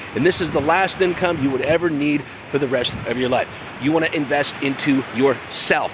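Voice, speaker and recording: Noticeable background noise sits under a man whose pitch is fairly high. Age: 50s. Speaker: online business coach. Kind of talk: sales pitch. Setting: outdoors. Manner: fast; animated.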